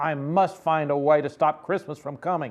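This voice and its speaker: A man's put-on character voice, growling and fairly high in pitch, at a moderate pace against a quiet background. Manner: growling, sneering.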